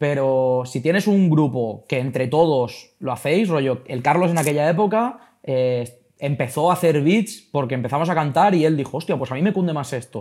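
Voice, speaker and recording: A man with a dark, mellow tone speaks at a fairly high pitch. His intonation is lively, and there are hardly any pauses. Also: moderate pace, very clean recording, silent background. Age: 20s. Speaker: rapper and esports club CEO. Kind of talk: casual interview chat.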